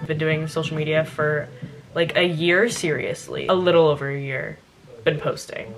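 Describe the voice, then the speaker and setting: Quiet and at a moderate pace, a woman with an American accent talks in a very deep, low pitch over noticeable background noise. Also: fairly even intonation. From California and Louisiana. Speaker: lifestyle vlogger. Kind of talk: casual Q&A vlog. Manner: quiet, lowered voice; chatty, filler-heavy.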